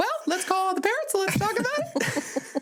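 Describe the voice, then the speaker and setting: A squeaky, put-on character voice at an extremely high pitch moves at a moderate pace over clear background noise. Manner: sweetly concerned, parental.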